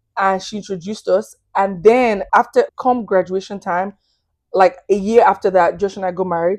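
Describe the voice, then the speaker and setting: An animated tone at a moderate pace, with a Nigerian accent. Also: woman, medium pitch for a woman. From Nigeria, Lagos. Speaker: podcast guest, hospitality worker. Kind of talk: testimony.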